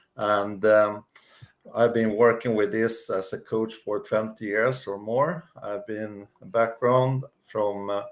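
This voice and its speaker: Medium in pitch, a man talks at a very slow pace with fairly even intonation. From Sweden. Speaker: life coach. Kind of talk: interview. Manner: halting.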